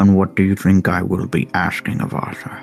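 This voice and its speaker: A put-on character voice from a man, very deep and low in pitch, over faint background music. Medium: actual play. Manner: commanding, condescending.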